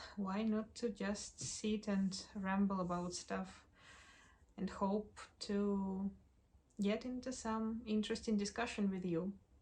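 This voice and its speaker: Speaking very slowly with a non-native accent, a woman uses a medium pitch, a somewhat breathy voice and fairly even intonation. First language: not English. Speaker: doll collector YouTuber. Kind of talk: casual review monologue.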